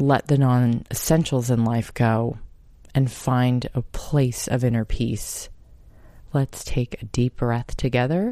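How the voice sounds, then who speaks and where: This woman's voice is very deep and low, with a dark, mellow tone and a calm, soothing tone. She speaks at a very slow pace with fairly even intonation. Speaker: podcast host. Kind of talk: casual self-help monologue.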